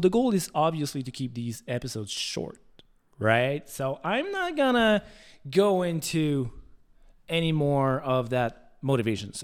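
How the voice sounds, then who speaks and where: On a very clean recording with a silent background, a man with a fairly high pitch speaks at a fairly slow pace with lively intonation. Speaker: fitness trainer and podcast host. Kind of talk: solo podcast monologue. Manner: casual, with filler words.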